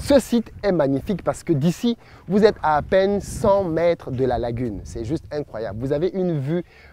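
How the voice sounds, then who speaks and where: Speaking at a moderate pace with a Cameroonian accent, a man has a fairly high pitch, a dark, mellow tone and lively intonation. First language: Bassa (speaking French). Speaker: entrepreneur and business YouTuber. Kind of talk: promotional vlog presentation.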